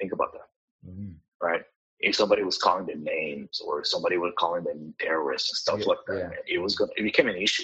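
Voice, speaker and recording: Speaking in a Spanish accent, a man moves at a very fast pace. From Mexico (Cuernavaca), raised in Kansas City from age 9. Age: 30s. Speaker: pastor. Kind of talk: interview. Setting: video call.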